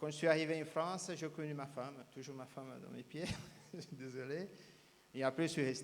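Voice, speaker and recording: The loudness swings widely while the speech holds a moderate pace and fairly even intonation. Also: man, fairly high pitch for a man. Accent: Brazilian. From Brazil. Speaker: speed painter. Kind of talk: interview. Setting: live show at cabaret. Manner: halting.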